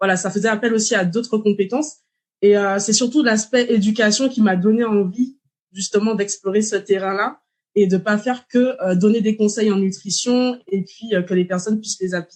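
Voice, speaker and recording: With a plain, everyday voice, a woman speaks at a moderate pace. Her pitch is fairly high and her intonation fairly even. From Martinique. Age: 30s. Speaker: dietitian. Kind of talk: podcast interview.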